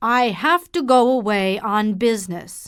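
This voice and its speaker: A woman performs a put-on character voice, fairly high in pitch with lively intonation. She goes at a fairly slow pace on a very clean recording with a silent background. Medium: read story. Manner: evasive, self-pitying.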